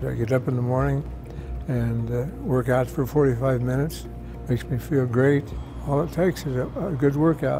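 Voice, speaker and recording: Over music in the background, a man with an American accent speaks at a moderate pace. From United States. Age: 80s+. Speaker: health plan member who works out daily. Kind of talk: interview answer, casual personal testimonial. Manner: plain-spoken, conversational, slightly halting. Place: meeting room. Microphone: lapel.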